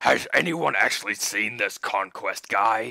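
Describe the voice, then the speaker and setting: Raspy, put-on character voice from a man at a fairly slow pace. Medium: read story. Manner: blunt, scoffing.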